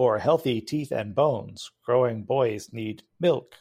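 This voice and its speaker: A man puts on a robotic character voice at a medium pitch, speaking at a fairly slow pace. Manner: repetitive, canned sales slogans.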